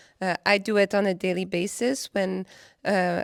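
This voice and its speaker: A woman with a Quebec accent at medium pitch, fairly even intonation, a dry, close sound with no echo, and a very clean recording with a silent background. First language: French. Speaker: artist. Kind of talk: interview. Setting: after a film screening at a cinema.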